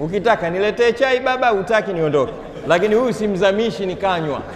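A man with a high pitch talks at a fairly quick pace with ordinary pitch variation. Audible room echo and light background noise are present. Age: 50s. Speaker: Islamic preacher. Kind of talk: sermon. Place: hall. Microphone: lapel.

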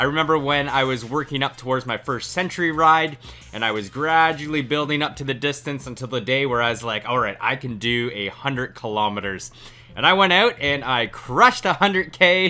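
Faint music plays in the background. The speech moves at a fairly quick pace. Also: man, ordinary pitch variation. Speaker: cycling coach. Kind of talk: casual vlog chat. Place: home room.

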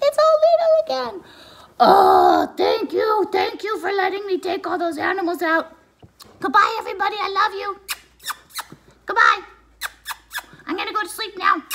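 Shouting in a cartoonish character voice, the speaker keeps a moderate pace with long, frequent pauses. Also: woman, extremely high pitch for a woman. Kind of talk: children's puppet show. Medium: puppet show. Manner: sweet, cheerful, affectionate.

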